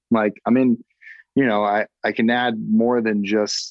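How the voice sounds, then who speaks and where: A man with an American accent talks in a normal speaking voice at a fairly low pitch. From Massachusetts. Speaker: filmmaker. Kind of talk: casual chat.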